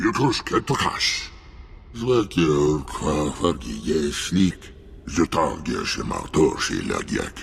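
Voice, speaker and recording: Growling in a put-on character voice, a man speaks at a very slow pace with very deep, low pitch over clear background noise. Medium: video game.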